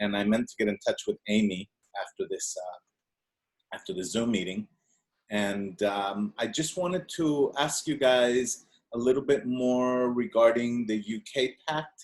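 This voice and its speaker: Speaking at a fairly slow pace with a Spanish accent, a man uses lively intonation at a medium pitch, his voice dry and close with no echo. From Venezuela. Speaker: audience member asking a question. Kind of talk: Q&A on video call. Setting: video call. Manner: halting.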